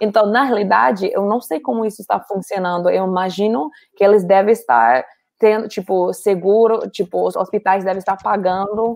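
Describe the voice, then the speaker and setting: A woman with an English accent speaks at a moderate pace in a medium pitch, her pitch rising and falling in an ordinary way. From US, Colorado. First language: English (speaking Portuguese). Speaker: NGO worker, guest. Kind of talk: casual interview chat.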